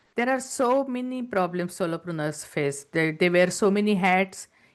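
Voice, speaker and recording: Over a quiet background, a woman speaks at a medium pitch. Her pace is fairly slow. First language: not English. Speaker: entrepreneur and business coach. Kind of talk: interview.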